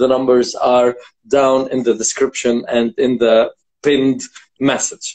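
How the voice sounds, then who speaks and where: The pace is fairly slow. The background is quiet. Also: man. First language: Arabic. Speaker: vocal coach and show host; vocal coach, show host. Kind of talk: live interview stream. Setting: video call. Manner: animated. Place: home room. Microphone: phone near.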